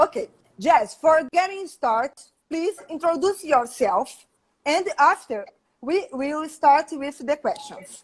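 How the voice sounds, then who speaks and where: Speech comes at a very slow pace in a Portuguese accent. The intonation is lively. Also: woman, high pitch for a woman. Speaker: live stream host. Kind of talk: interview on a live stream.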